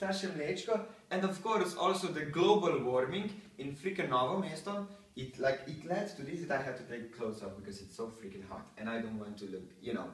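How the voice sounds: A man at medium pitch, fairly quick in pace, with ordinary pitch variation and audible room echo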